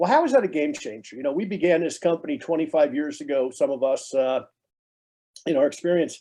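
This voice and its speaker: In an American accent, a dark, mellow voice swings very widely in pitch. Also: man. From New Jersey, US. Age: 60s. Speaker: network marketing trainer. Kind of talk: sales training talk.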